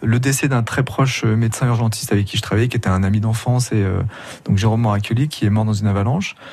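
A man at a medium pitch and very fast pace, with very even loudness, fairly even intonation and noticeable background noise. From France, Grenoble. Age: 50s. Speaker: emergency doctor and documentary maker. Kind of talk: radio interview. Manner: halting.

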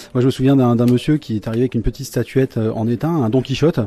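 Talking at a very fast pace, a man uses a dark, mellow tone at medium pitch with ordinary pitch variation. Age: 40s. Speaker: electronics technician, repair café volunteer. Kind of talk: interview. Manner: hesitant with repeated words.

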